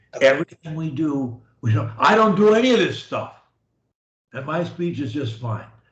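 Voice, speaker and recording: Somewhat breathy, a man talks at a moderate pace with very wide pitch swings. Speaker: speech coach. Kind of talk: coaching session talk.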